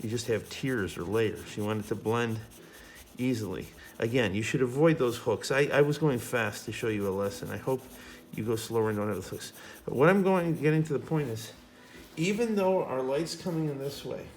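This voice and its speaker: Audible room echo surrounds a man of medium pitch who talks at a fairly quick pace with lively intonation. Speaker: high school art teacher. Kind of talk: tutorial. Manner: fast; casual.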